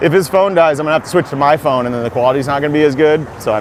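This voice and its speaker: Over noticeable background noise, a man speaks with an American accent and ordinary pitch variation. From South Dakota, US Midwest. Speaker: music teacher and YouTuber. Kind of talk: casual walking livestream. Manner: fast; casual.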